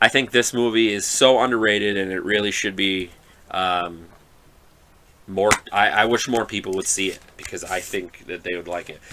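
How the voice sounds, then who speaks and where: A man talks at a moderate pace with fairly even intonation. His pitch is fairly low and his tone bright and sharp. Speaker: horror movie podcaster. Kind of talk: casual solo podcast review. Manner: halting, many fillers.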